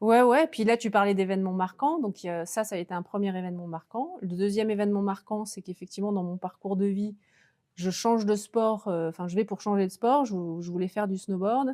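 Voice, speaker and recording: On a very clean recording with a silent background, a woman with a dark, mellow tone speaks at a medium pitch and a fairly quick pace, with ordinary pitch variation. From France, Lozère then Alpe d'Huez (Alps). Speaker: former Olympic snowboarder turned coach. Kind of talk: interview. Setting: studio. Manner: hesitant, many fillers.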